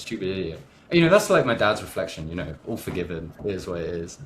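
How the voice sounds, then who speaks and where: Someone with a West Country accent speaks at a very fast pace with lively intonation over noticeable background noise. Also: man. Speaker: entrepreneur and business coach. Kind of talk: podcast interview.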